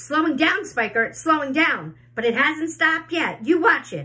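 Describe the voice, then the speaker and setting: A female-sounding voice does a put-on character at a high pitch. It is raised and projected, at a moderate pace. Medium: read story.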